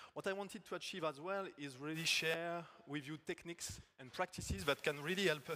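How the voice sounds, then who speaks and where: In a French accent, the speaker talks at a moderate pace with a bright, sharp tone and ordinary pitch variation. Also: man. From France. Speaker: agile technical coach. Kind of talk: conference talk. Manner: halting.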